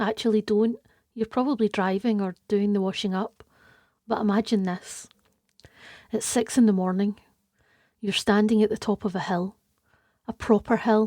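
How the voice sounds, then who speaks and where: With a Scottish accent and a dark, mellow tone, a woman speaks at a moderate pace with fairly even intonation on a very clean, dry, close recording with a silent background and no echo. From Scotland. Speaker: podcast host and tour guide. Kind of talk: podcast narration.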